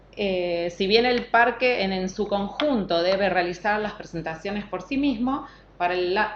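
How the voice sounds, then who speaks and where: Delivered at a fairly slow pace with ordinary pitch variation, the speech has noticeable background noise. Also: woman. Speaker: government environmental technician. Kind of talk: technical talk.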